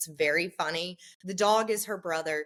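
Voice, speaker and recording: In an ordinary speaking voice, a woman talks at a fairly slow pace with a fairly low pitch and ordinary pitch variation. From US South. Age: 30s. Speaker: sustainable style influencer. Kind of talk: casual interview chat.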